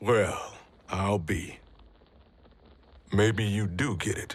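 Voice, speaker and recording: A man's raspy, fairly low put-on character voice, very slow, with fairly even intonation. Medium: cartoon. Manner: blunt, colloquial.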